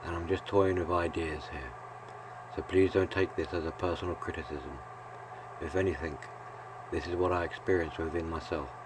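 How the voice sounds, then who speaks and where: Soft-spoken and calm in tone, a man with a very deep, low pitch talks with fairly even intonation and long, frequent pauses over noticeable background noise. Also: fairly quick pace. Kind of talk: reflective video essay narration. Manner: calm, soft-spoken; monotone.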